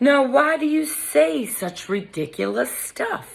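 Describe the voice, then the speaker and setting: Gruff and growling, this put-on character voice has a fairly high pitch, very wide pitch swings and a fairly slow pace. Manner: growling, boastful.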